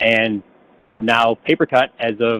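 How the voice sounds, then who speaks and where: A man's voice at a medium pitch. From upstate New York. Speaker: software sales presenter. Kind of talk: webinar presentation. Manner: fast.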